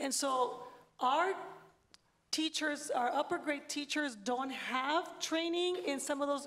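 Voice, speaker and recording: Here a woman speaks at a high pitch. Her pitch varies in an ordinary way. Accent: Spanish. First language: Spanish. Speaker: education panelist. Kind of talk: panel discussion.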